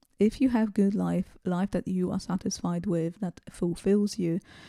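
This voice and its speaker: In a non-native accent, a woman at medium pitch speaks at a fairly slow pace with fairly even intonation and a dark, mellow tone, the sound dry and close with no echo. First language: not English. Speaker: self-improvement video creator. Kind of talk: casual monologue to camera. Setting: home recording with bare background. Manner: hesitant, many fillers.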